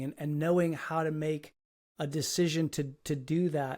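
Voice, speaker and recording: A man's fairly high voice with fairly even intonation at a moderate pace, on a very clean recording with a silent background. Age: 60s. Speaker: podcast host. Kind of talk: interview conversation. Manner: halting, many repeated words.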